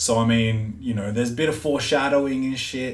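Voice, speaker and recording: Talking at a fairly quick pace with ordinary pitch variation, a man is heard in a space with audible room echo. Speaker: podcast host. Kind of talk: casual monologue.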